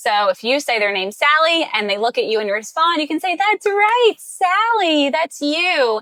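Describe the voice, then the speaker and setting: A woman speaks at a moderate pace in a raised, projected voice, with high pitch and very wide pitch swings. She hardly pauses, and the sound is dry and close with no echo. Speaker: speech therapist. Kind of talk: tutorial.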